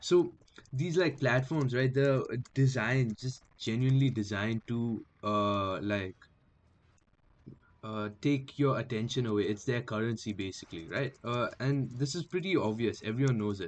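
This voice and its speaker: Here a man talks at a moderate pace. His voice sits at a medium pitch with ordinary pitch variation. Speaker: streamer. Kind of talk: casual chat. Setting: live stream. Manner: halting.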